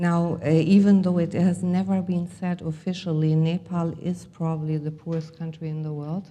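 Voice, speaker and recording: In a German accent, a woman speaks at a moderate pace and a fairly low pitch with monotone, flat intonation, and the room echo is audible. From Germany, Hamburg. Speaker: healer and motivational speaker. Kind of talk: conference talk. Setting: stage with audience. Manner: halting, many fillers.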